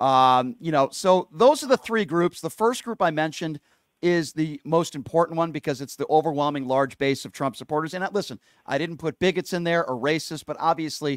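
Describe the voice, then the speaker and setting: This man has a plain, everyday voice, fairly high in pitch, talking at a fairly quick pace with ordinary pitch variation, recorded dry and close with no echo on a very clean track with a silent background. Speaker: radio show host. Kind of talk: radio talk show rant.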